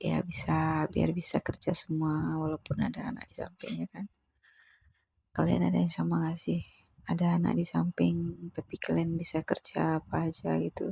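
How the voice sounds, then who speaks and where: Recorded with a dry, close sound and no echo, a woman talks at a moderate pace. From Aceh, Indonesia. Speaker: housewife vlogger. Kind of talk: casual voiceover vlog. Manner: halting, self-correcting; chatty.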